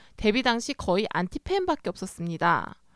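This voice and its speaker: A woman with a fairly high pitch and very wide pitch swings talks at a moderate pace in a very clean, silent-background recording with a dry, close sound and no echo. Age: 30s. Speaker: writer. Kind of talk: reading aloud.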